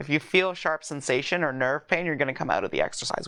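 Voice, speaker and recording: Vocal fry runs through a woman's very deep, low pitch, which shows ordinary pitch variation. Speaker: yoga and self-massage instructor. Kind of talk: guided self-massage tutorial.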